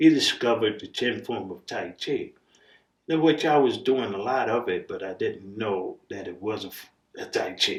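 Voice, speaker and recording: A man's loudness swings widely as he talks at a moderate pace. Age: 60s. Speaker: martial arts grandmaster. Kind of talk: interview. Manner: halting, many fillers.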